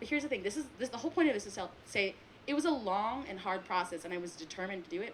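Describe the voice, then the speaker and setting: A woman with an American accent at medium pitch, very wide pitch swings, and noticeable background noise. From US, Taiwanese American family. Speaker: filmmaker on a panel. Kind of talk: panel discussion. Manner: casual, many fillers.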